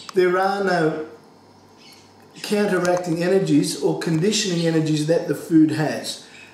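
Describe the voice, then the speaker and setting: Fairly even intonation in audible room echo, with faint music in the background. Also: man. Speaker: home cooking teacher. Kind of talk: tutorial. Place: kitchen.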